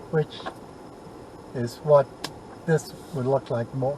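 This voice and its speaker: Noticeable background noise sits behind a man talking at a fairly slow pace in a medium-pitched voice. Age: 70s. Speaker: vlogger. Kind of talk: casual narration while driving. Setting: in a car. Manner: relaxed, leisurely.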